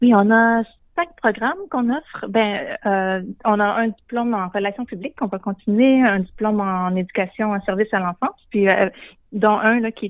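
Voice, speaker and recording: The woman speaks with fairly even intonation. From Quebec, Shawinigan. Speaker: college director. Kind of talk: radio interview. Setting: phone call. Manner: halting.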